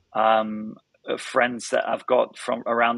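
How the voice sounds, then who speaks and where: Speaking with a British accent, a man uses a medium pitch and a bright, sharp tone. His delivery is fairly slow, in a monotone, flat intonation. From northern England. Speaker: startup founder and CEO. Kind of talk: podcast interview. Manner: halting, many repetitions.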